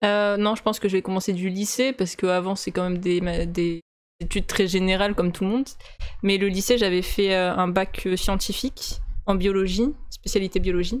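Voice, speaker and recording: A woman speaks at a fairly quick pace in a medium pitch. Her intonation stays fairly even. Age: 20s. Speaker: video game developer. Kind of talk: casual interview. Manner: hesitant, many fillers.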